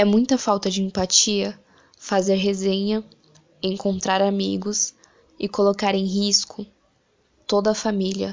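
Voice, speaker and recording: A woman at medium pitch talks in a monotone, flat intonation, leaving long, frequent pauses. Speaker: actress and poet. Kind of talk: spoken word poetry, rhymed and performed, with a pandemic message.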